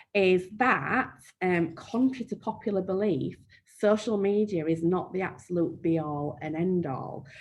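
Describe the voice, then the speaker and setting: Speaking in a Yorkshire accent, a woman uses a medium pitch with ordinary pitch variation. Her pace is fairly slow. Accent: broad Yorkshire. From Yorkshire, northern England. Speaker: marketing trainer. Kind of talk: webinar Q&A. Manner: frequent um fillers.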